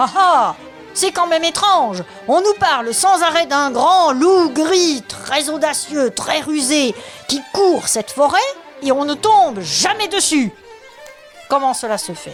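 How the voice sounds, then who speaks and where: With clear music in the background, a woman uses a put-on character voice at a fairly slow pace. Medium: read story. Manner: self-assured yet hesitant.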